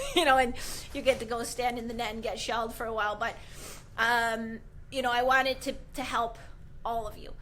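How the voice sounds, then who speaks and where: A woman's high-pitched voice at a fairly quick pace, with long, frequent pauses and audible room echo. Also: big swings in loudness. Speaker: goalie trainer. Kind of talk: live video tutorial. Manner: animated.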